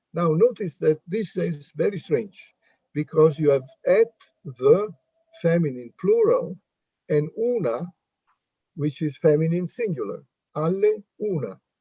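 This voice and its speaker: A man with an Italian accent and a dark, mellow tone, fairly slow with long, frequent pauses and lively intonation, in a dry, close sound with no echo. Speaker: linguistics professor. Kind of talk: academic Q&A discussion.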